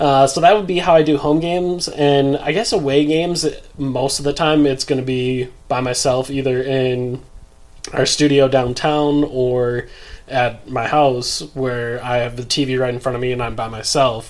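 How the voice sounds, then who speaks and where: A man speaks at a moderate pace in a plain, everyday voice, his pitch medium and his intonation fairly even. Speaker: basketball podcast host. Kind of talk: casual chat.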